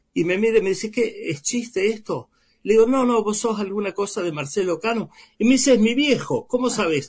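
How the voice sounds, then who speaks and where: In an Argentine accent, a man talks at a high pitch with ordinary pitch variation. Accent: Rioplatense Argentine Spanish. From Argentina, Baradero (Buenos Aires province). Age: 70s. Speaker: writer. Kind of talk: interview.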